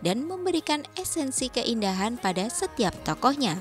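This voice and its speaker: Music plays behind a woman's high-pitched voice. She keeps a moderate pace with very wide pitch swings. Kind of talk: news feature narration.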